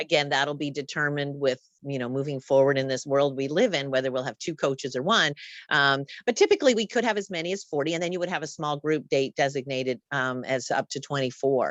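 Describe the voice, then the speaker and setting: Speaking at a very fast pace, a woman uses a very deep, low pitch with ordinary pitch variation. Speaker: tour company representative. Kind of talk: presentation.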